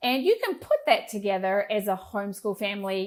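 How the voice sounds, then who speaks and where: A woman speaks with a slight New Zealand accent. Her pitch is medium. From rural New Zealand. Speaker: entrepreneur. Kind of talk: podcast interview.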